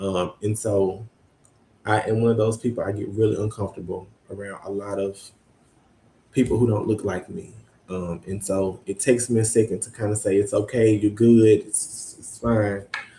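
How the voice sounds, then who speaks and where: A man's dark, mellow, somewhat breathy voice with a Mississippi accent, monotone and flat in intonation, at a moderate pace, with big swings in loudness. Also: fairly low pitch for a man. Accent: Southern US, Mississippi. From US South, Mississippi Delta (Greenwood). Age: 20s. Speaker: university student advisor. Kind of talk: interview. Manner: frequent hesitations (um).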